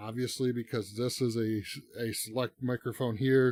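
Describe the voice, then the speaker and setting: A man talks at a moderate pace. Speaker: streamer giving a tech tutorial. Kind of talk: tutorial. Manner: casual, hesitant with repeated words. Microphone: cheap XLR mic via audio interface.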